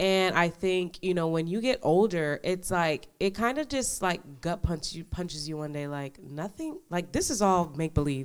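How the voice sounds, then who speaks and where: A woman with an American accent and an ordinary speaking voice, fairly low in pitch, with lively intonation, a moderate pace and hardly any pauses. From New York. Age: 20s. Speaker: law enforcement officer. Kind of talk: casual chat.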